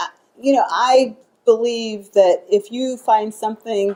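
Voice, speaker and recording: A woman talks at a very slow pace. Her voice is fairly high with a dark, mellow tone. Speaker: lawyer, keynote speaker. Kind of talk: Q&A at a talk. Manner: casual, hesitant with fillers.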